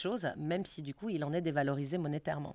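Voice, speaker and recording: A woman speaks at a very fast pace. The background is quiet and the sound is dry with no echo. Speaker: sociologist researcher; speaker. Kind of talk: lecture and Q&A discussion. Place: meeting room. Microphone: podium.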